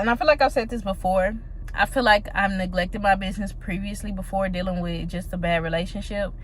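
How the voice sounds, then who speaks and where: A woman with a medium pitch and ordinary pitch variation talks very fast over noticeable background noise. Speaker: small business owner vlogger. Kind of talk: casual vlog monologue.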